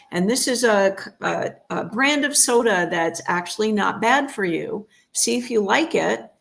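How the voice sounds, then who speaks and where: A woman with an American accent speaks at a fairly slow pace and a fairly high pitch. Her intonation is lively, and vocal fry comes through. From United States. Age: 60s. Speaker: chiropractor and holistic health practitioner. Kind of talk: interview.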